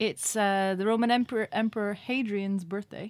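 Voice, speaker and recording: A woman's medium-pitched voice with fairly even intonation, on a very clean recording against a silent background. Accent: Cork. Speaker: community radio host. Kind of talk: casual radio chat. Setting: studio.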